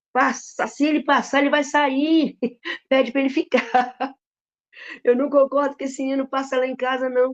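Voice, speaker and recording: An animated tone at a moderate pace, broken by long, frequent pauses. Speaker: preacher. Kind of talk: sermon. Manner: loud.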